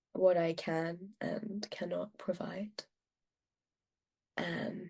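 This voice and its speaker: A woman talks at a very slow pace with monotone, flat intonation and medium pitch. Her voice is somewhat breathy. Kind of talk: interview answer.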